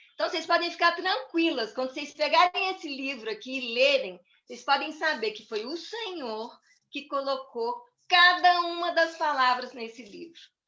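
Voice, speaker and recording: A woman calls out in a raised, projected voice with a high pitch and a bright, sharp tone. Her loudness swings widely. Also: lively intonation. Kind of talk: church talk. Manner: slow.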